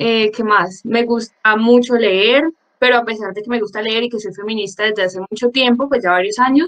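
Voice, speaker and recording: A woman's fairly high, ordinary speaking voice at a moderate pace, with fairly even intonation. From Colombia, Popayán. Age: 20s. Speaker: law student, book club member. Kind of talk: self-introduction in online group.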